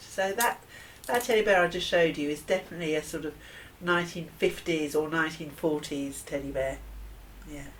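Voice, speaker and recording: A woman talks at a fairly quick pace with a southern English accent. Her pitch is fairly low. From southern England, near Battle, East Sussex. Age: 50s. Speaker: interviewee sharing childhood memories. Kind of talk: oral history interview.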